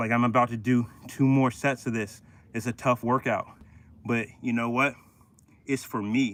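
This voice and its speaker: At a moderate pace, a man talks in monotone, flat intonation at a medium pitch, leaving long, frequent pauses. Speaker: fitness coach streaming workouts. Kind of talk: live stream motivational talk during workout. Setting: outdoors. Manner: loud.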